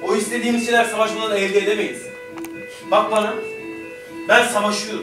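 A raised, projected voice with fairly even intonation carries over clear background music, with audible room echo. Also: man. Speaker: stage actor. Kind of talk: theatrical monologue. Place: stage. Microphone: camera far.

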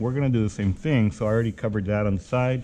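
A man rattles along at a very fast pace with ordinary pitch variation, light background noise behind him. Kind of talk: tutorial. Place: workshop. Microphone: phone near.

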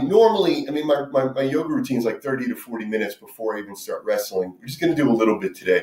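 A man's voice carries audible room echo. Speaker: fitness instructor. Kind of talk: tutorial. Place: kitchen. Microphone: camera far.

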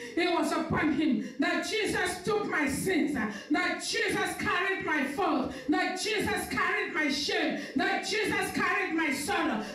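A woman with an extremely high pitch, ordinary pitch variation, very even loudness, hardly any pauses and audible room echo. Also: fairly slow pace. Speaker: pastor. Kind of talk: sermon and fervent prayer. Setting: live stream church service. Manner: fervent, forceful, declaring prayer with rising intensity. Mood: fervent, eyes closed in prayer. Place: church.

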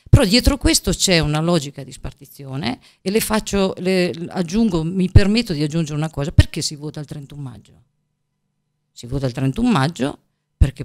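At a moderate pace, a woman with a very deep, low pitch speaks with lively intonation and big swings in loudness against a quiet background. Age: 50s. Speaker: teacher and regional election candidate; teacher, election candidate. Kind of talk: political interview. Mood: earnest, persuasive. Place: studio. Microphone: studio mic.

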